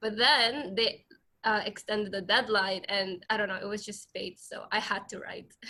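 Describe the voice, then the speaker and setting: Her bright, sharp tone sits at a fairly high pitch as this woman speaks in a monotone, flat intonation. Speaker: university student reading her writing. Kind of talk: reading aloud. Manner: halting, with many fillers.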